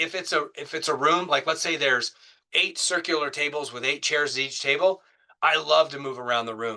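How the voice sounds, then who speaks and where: A man speaks at a fairly high pitch in a bright, sharp tone. His intonation stays fairly even. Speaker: safety professional giving a public speaking talk. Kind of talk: webinar presentation. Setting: online webinar. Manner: fast.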